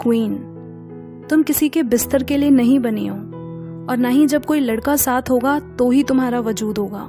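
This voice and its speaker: The voice belongs to a woman and is high-pitched. Background music can be heard. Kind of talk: spoken-word poetry reading.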